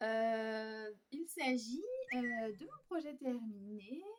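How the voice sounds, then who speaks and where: A woman is speaking. Her pitch sits fairly high. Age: 20s. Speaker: knitting podcaster. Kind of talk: casual monologue to camera. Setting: at home on the couch. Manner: hesitant, many fillers.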